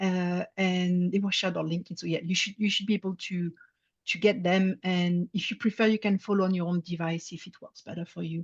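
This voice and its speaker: A woman with a French accent speaks fairly quickly at medium pitch, monotone and flat, in a somewhat breathy voice with big swings in loudness. The sound is dry and close with no echo, over a quiet background. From France. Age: 50s. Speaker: service designer. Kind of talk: presentation talk. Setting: talk with slides to an audience. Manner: some hesitations (uh).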